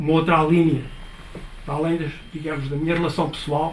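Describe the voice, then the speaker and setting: Audible room echo surrounds a man whose fairly high voice holds a monotone, flat intonation. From northern Portugal (Chaves area). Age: 70s. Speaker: audience speaker at book talk. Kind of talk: public talk. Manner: hesitant, many fillers.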